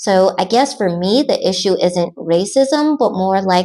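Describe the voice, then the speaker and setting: With an American accent, a woman talks fairly slowly in a plain, everyday voice of medium pitch and lively intonation. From United States. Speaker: expat vlogger. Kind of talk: scripted Q&A narration.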